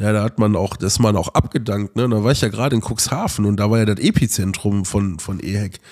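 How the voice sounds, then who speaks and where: A man talks at a very fast pace with hardly any pauses. His pitch is fairly low, with ordinary pitch variation. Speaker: podcast co-host. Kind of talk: casual chat. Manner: animated.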